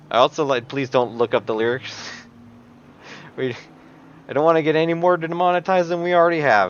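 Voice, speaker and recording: In a Minnesotan accent, a man talks at a very fast pace in a fairly high pitch with ordinary pitch variation and long, frequent pauses. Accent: Minnesota. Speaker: sim racing commentator. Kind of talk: live commentary. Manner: casual, joking.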